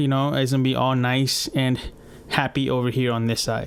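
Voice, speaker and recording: A man of medium pitch with a non-native accent and monotone, flat intonation. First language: not English. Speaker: podcast host, UX designer. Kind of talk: casual podcast monologue. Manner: casual, with many fillers.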